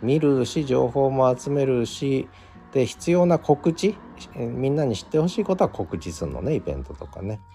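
In a relaxed tone, a man at medium pitch and moderate pace shows very wide pitch swings and big swings in loudness. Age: 50s. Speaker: podcast host. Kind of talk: solo live stream talk. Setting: open studio.

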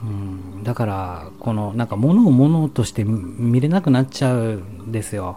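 Hardly pausing, a man speaks in a plain, everyday voice at medium pitch and moderate pace, with ordinary pitch variation. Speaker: solo streamer. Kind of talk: late-night sleep-talk broadcast, intimate whispered ASMR-style monologue. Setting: home recording with stereo microphone.

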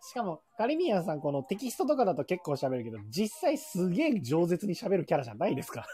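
A man talks at a very fast pace with hardly any pauses, at a high pitch with very wide pitch swings. Background noise is noticeable. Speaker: shop owner. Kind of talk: casual chat.

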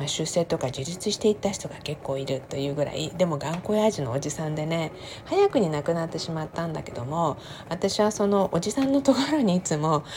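Against noticeable background noise, a woman with a fairly low pitch talks at a fairly quick pace with lively intonation. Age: 50s. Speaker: podcaster. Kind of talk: casual monologue. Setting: home kitchen. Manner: chatty, laughing.

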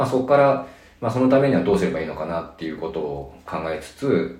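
A man's lively intonation comes through with audible room echo. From Nagano, Japan. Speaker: veterinarian. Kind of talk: interview. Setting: exam room.

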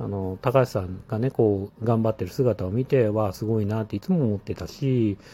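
A man speaks in a fairly low voice. His pace is moderate. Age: 40s. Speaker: podcaster, former mobile game producer. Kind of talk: casual solo monologue. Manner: hesitant, many fillers.

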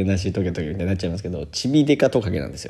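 With a dark, mellow tone and a somewhat breathy sound, a man speaks at a fairly low pitch with lively intonation. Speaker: Japanese teacher and podcaster. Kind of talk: casual solo podcast monologue.

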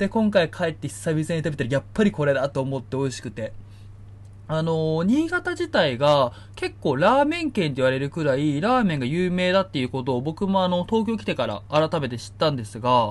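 A somewhat breathy man speaks at a fairly quick pace, his pitch swinging very widely. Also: fairly high pitch for a man. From Niigata, Japan. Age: 30s. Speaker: podcast host. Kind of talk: casual solo talk. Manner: many fillers.

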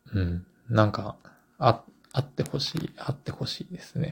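A man's medium-pitched voice with vocal fry. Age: 40s. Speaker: book editor and publisher. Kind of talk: solo podcast monologue. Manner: halting, many filler words.

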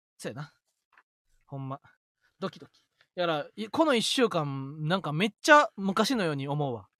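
With a dry, close sound and no echo, a man talks at a moderate pace in a bright, sharp tone and fairly high pitch, with lively intonation, big swings in loudness and long, frequent pauses. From Osaka, Kansai. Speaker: comedian, radio podcast co-host. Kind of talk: casual chat. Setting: live stream.

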